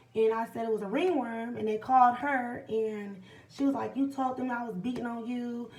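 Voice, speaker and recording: With audible room echo, a woman speaks at a high pitch and a moderate pace, keeping her intonation fairly even. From Illinois, US. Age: 20s. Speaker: vlogger. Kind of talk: personal testimony. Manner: casual, halting.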